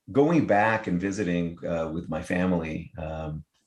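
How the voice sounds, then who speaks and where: With an American accent, a man talks in a very deep, low voice. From Israel. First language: Hebrew. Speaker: tech startup founder. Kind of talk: interview. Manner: halting.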